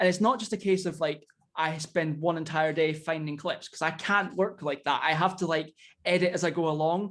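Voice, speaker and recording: High-pitched male voice in a Scottish accent, at a moderate pace with fairly even intonation. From Scotland. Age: young. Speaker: indie wrestler and YouTuber. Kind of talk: casual chat.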